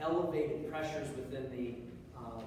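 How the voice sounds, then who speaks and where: Strong room echo and noticeable background noise surround a man who talks at a fairly quick pace with fairly even intonation. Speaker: lecturer. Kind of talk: lecture. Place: classroom. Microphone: camera far.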